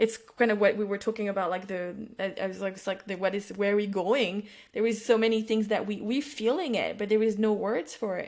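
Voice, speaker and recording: With a French accent, a woman speaks at a medium pitch and a fairly quick pace, her intonation fairly even. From France. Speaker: psychic and intuitive business mentor. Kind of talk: podcast interview conversation. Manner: halting, many false starts.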